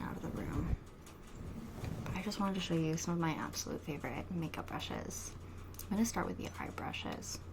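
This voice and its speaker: A soft-spoken woman with lively intonation at a fairly quick pace. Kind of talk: ASMR soft-spoken talk to camera.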